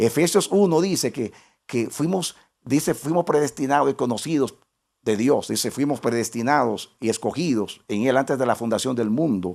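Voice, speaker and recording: A man at medium pitch with lively intonation and a moderate pace, on a very clean recording against a silent background. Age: 60s. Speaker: pastor. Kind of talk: sermon. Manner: repetitive, halting restarts.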